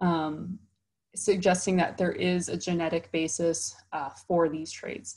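A woman with an American accent speaks in a fairly low, somewhat breathy voice with fairly even intonation. The background is quiet. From Chicago, US Midwest. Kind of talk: conference talk. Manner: frequent filler words (um, uh). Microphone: webcam.

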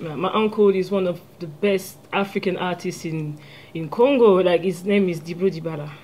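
Speaking with a French accent, a woman has a slightly mellow tone, a fairly low pitch, ordinary pitch variation and a moderate pace.

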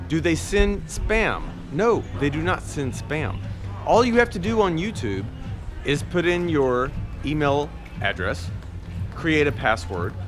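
Clear music plays behind speech that moves at a fairly slow pace with long, frequent pauses. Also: man. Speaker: vlogger. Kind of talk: casual vlog chat. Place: street. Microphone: phone near.

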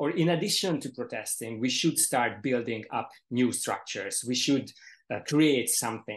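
A man with a Hungarian accent speaks at a moderate pace. His intonation is lively, and the background is quiet. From Hungary. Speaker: panelist, art critic; panelist. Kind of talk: panel discussion. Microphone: video call.

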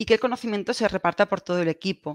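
A woman speaks in a Castilian accent with ordinary pitch variation. The sound is dry with no echo, over a quiet background. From Spain, Valencia; Spain. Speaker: telecommunications engineer; presenter. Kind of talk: conference presentation. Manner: halting, repeats words. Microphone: video call.

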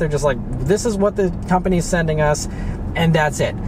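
This man talks at a very fast pace with ordinary pitch variation. The sound is dry with no echo, and there is noticeable background noise. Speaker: car vlogger. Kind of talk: casual vlog chat. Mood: mildly frustrated, explanatory. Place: car.

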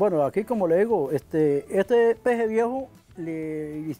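Faint music plays behind a man speaking at a high pitch. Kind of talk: interview answer. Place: home room.

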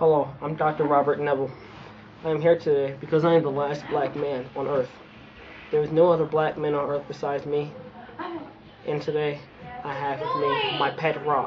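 Amid noticeable background noise, a man speaks at a moderate pace in monotone, flat intonation with long, frequent pauses. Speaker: comedic actor playing a character. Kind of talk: comedic skit monologue. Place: street. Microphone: camera far.

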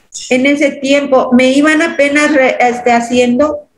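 A woman speaks at a fairly slow pace in a high, flat, monotone voice. Audible echo fills the room. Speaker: hypnosis client. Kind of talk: emotional testimony. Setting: video call. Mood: earnest, emotional. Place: home room. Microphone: video call.

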